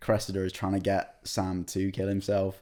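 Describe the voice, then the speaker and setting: Here a man speaks at a moderate pace with a very deep, low pitch and a dark, mellow tone. The recording is very clean, with a silent background. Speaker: actor and podcast co-host. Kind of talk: casual chat. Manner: hesitant, many fillers.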